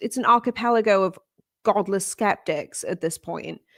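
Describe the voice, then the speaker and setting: A woman with a British accent speaks at a moderate pace with lively intonation. The recording is very clean, with a silent background. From United Kingdom. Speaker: livestream co-host. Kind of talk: casual livestream chat.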